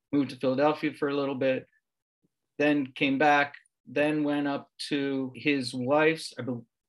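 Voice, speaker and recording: An unremarkable speaking voice with an American accent moves at a moderate pace. The recording is very clean, with a silent background. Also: man. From Pennsylvania, Levittown. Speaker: local history author. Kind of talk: interview.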